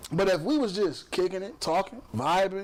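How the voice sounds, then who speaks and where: Through noticeable background noise, a man with an American accent speaks in a high voice with lively intonation. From Chicago, US Midwest. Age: 40s. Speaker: podcast host. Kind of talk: casual chat.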